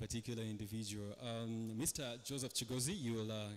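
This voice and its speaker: In a Ugandan accent, the speaker moves at a fairly quick pace with fairly even intonation. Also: man. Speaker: panel moderator. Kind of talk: panel discussion moderation.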